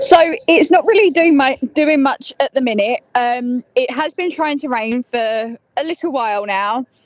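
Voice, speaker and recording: Lively intonation in an Essex accent, a fairly slow pace with hardly any pauses, and a dry, close sound with no echo. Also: woman, high pitch for a woman. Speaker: weather reporter. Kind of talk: weather report. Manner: halting.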